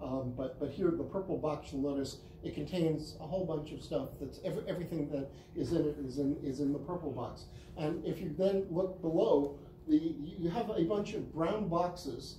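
Audible room echo and light background noise surround a speaker with an American accent who talks at a moderate pace. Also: man. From US Northeast, Brooklyn NY (Flatbush); US Northeast. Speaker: university professor. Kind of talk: lecture. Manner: halting, many fillers and repetitions. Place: classroom. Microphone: camera far.

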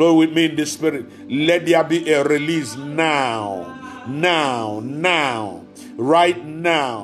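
A man talks very slowly while clear music sounds in the background. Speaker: preacher. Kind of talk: fervent prayer, with speaking in tongues. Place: home room. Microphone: phone near.

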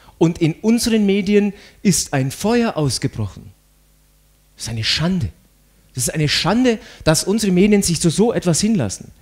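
Here a man talks at a moderate pace in a high pitch, with lively intonation. His speech has long, frequent pauses. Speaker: conference speaker. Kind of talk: lecture.

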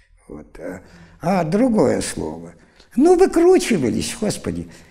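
The background stays quiet. The man's speech comes at a very slow pace. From Siberia, Irkutsk region; Siberia, Russia. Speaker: university lecturer; university lecturer, interviewee. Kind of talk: interview storytelling. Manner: animated. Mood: lively, amused storytelling. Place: studio. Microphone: lapel.

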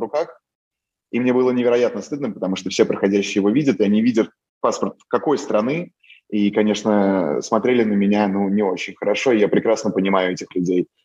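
Against a quiet background, a man with a Moscow accent talks at a fairly quick pace in a fairly low, dark, mellow voice with ordinary pitch variation. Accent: Moscow Russian. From Russia, Moscow. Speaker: photojournalist. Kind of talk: interview. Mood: calm, reflective, a bit rueful. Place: home room. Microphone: video call.

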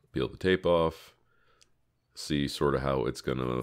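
The recording is very clean with a silent background. A man speaks with a very deep, low pitch and ordinary pitch variation. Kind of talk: craft tutorial narration. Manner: casual, self-deprecating with laughs.

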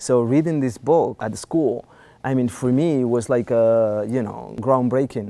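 A man with a Spanish accent speaks at a fairly slow pace in a dark, mellow tone. His intonation stays fairly even. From Spain. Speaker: philosopher and filmmaker. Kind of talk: interview. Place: studio.

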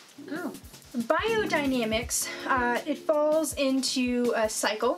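Faint music plays in the background as a woman speaks at a high pitch with ordinary pitch variation. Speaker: wine vlogger host. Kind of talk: explanatory vlog talk. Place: home room.

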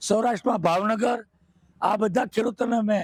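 A man speaks with a high pitch. The sound is dry and close, with no echo. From Saurashtra, Gujarat (Mahuva, Bhavnagar). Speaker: beekeeper and farmer. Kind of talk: interview.

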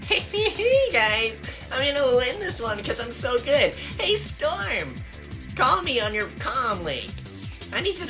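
A woman talks at a fairly slow pace. Loud music plays in the background. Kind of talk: comic overacting. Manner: whiny, demanding.

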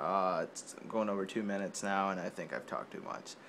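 A bright, sharp tone comes through at a moderate pace over light background noise. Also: man. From Mexico. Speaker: video blogger. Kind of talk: casual vlog. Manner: hesitant, many fillers. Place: home room. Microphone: phone near.

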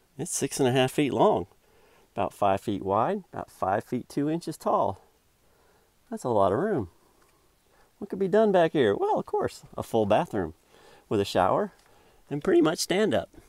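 A man with vocal fry at a moderate pace, long, frequent pauses, a quiet background and a dry sound with no echo. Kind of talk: tutorial. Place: car. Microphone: phone near.

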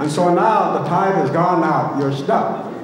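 A man speaks in a space with strong room echo. Light background noise can be heard. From Alaska. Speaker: dance group spokesman and storyteller. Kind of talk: oral storytelling at a cultural performance. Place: stage.

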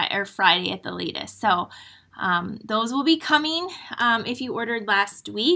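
With an Upper Midwest accent, a woman speaks at a moderate pace and fairly high pitch. Her tone is bright and sharp against a quiet background. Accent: Upper Midwest American. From Michigan. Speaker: crafting demonstrator. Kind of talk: live-stream craft tutorial. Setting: live stream from home studio. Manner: chatty. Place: home room.

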